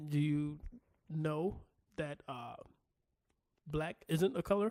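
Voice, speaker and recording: At a very slow pace, a man with a fairly high pitch and a dark, mellow tone speaks with ordinary pitch variation in a dry, close sound with no echo. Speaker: podcast co-host. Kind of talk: casual comedic chat. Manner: animated.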